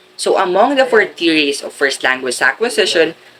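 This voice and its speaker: There is light background noise behind the recording. A man speaks at a moderate pace in a Filipino accent. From Philippines. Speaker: education student. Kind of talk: school presentation, reading aloud. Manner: formal. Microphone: webcam.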